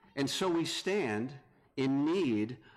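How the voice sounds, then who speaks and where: There is audible room echo around this man. He speaks with an American accent. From North Carolina. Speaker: visiting preacher. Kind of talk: sermon.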